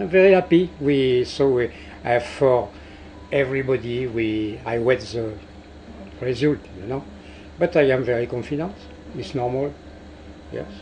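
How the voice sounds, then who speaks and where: In a French accent, a man speaks at a moderate pace with lively intonation and a medium pitch. His loudness swings widely, and he leaves long, frequent pauses. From France. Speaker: cruise ship captain. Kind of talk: interview. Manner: halting.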